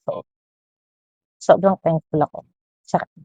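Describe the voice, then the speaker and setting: Somewhat breathy and fairly low in pitch, a woman speaks at a moderate pace in a dry, close recording with no echo. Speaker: parent vlogger. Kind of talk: personal vlog monologue.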